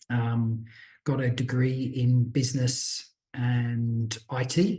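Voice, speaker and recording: A man with an Australian accent speaks at a medium pitch in a dark, mellow, somewhat breathy tone, his intonation monotone and flat. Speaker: business owner. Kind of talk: podcast interview.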